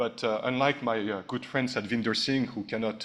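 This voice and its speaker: A man with a French accent at a fairly quick pace. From France. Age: 50s. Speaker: ambassador, diplomat. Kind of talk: speech at a launch event. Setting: hotel ballroom event. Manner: hesitant with frequent uh fillers.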